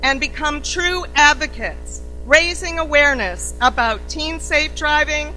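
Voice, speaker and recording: A woman speaks at a fairly slow pace with music in the background and audible room echo. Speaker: CEO of an organization opening a summit. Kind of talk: formal welcome speech. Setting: conference stage with audience. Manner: loud.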